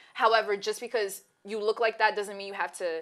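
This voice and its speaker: A woman at a medium pitch talks with a slight Brooklyn accent. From Brooklyn, New York (Bed-Stuy). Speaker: co-host of a talk show. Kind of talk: casual chat.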